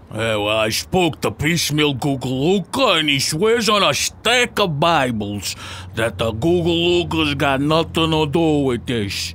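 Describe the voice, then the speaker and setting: Very wide pitch swings and very even loudness come at a fairly slow pace over clear background noise. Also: man, fairly high pitch for a man. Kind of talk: comic gangster sketch. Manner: chatty, petty, eager.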